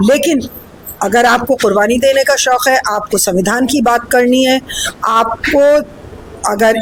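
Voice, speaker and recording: A woman's high-pitched voice with ordinary pitch variation, over noticeable background noise. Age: 70s. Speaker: politician. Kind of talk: interview. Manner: animated.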